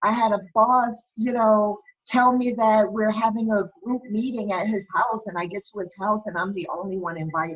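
Somewhat breathy, the speaker keeps a moderate pace, fairly even intonation and hardly any pauses. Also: woman, fairly high pitch for a woman. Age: 40s. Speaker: criminal justice expert and workplace bullying advocate. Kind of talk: interview. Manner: halting.

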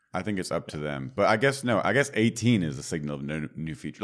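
In a very clean recording with a silent background, a man with a very deep, low pitch and vocal fry talks at a fairly quick pace, his pitch swinging very widely. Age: 30s. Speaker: software developer podcast host. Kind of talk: casual tech chat.

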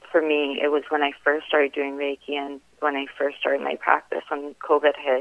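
Her pitch very deep and low, a woman with a Canadian accent speaks at a moderate pace. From Iran, raised in Vancouver from age seven. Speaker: reiki healer. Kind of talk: interview.

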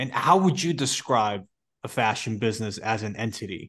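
At a moderate pace, a man of medium pitch with ordinary pitch variation talks in an ordinary speaking voice. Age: 20s. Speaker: podcast host. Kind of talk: interview.

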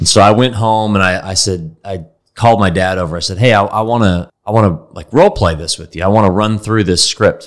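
A man with an American accent and a plain, everyday voice, fairly low in pitch, fairly quick with hardly any pauses, and fairly even in intonation. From Texas, Dallas. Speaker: company founder and CEO. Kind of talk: interview.

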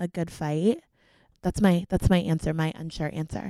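A woman with an American accent talks in an ordinary speaking voice, fairly low and fairly slow, with fairly even intonation. The recording is very clean with a silent background, and the sound is dry and close with no echo. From Florida (Fort Myers). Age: 20s. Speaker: college student. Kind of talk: casual chat.

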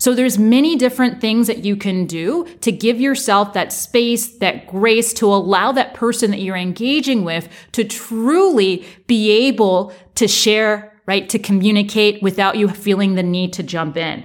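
A woman's fairly high voice with a plain, everyday voice, ordinary pitch variation, and a moderate pace. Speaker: leadership coach. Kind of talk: podcast monologue on coaching.

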